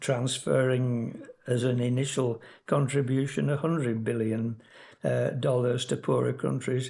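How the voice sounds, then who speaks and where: A medium-pitched man with a dark, mellow, somewhat breathy tone at a moderate pace. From Yorkshire, England. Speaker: emeritus professor of geography, climate scientist. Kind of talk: educational lecture podcast.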